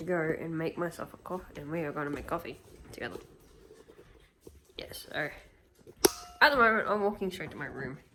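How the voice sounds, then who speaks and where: With noticeable background noise behind her, a woman speaks at a fairly quick pace in a fairly low pitch, her tone animated and her intonation lively, yet her speech is broken by long, frequent pauses. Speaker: vlogger. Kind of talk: casual vlog chat. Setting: at home, kitchen and bedroom. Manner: chatty, animated.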